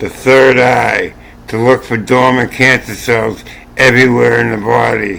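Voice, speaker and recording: Against noticeable background noise, a man speaks at a very slow pace in a medium pitch with monotone, flat intonation. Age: 60s. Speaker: channel owner sharing health opinions. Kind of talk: casual monologue. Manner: repetitive, halting.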